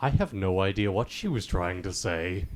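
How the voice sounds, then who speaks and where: Using a put-on character voice, a man speaks at a very deep, low pitch and a moderate pace. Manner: dad voice impression.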